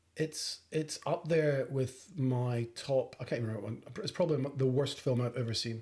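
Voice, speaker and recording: Speaking at medium pitch in a Scottish accent, a man has ordinary pitch variation. His pace is moderate, with hardly any pauses. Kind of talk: movie podcast co-host. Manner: casual, teasing.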